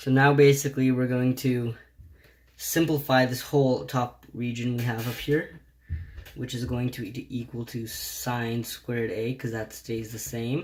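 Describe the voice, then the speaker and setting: Flat and monotone, a man at medium pitch talks at a fairly slow pace. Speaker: math tutor. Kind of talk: tutorial.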